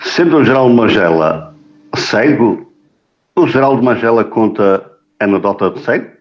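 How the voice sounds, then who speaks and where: Lively intonation marks a man's medium-pitched voice, broken by long, frequent pauses. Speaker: podcast host. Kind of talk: interview.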